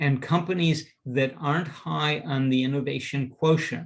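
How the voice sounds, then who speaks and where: An unremarkable speaking voice from a man, fairly high in pitch, at a fairly slow pace with ordinary pitch variation. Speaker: presenter and teacher on company culture. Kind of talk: lecture.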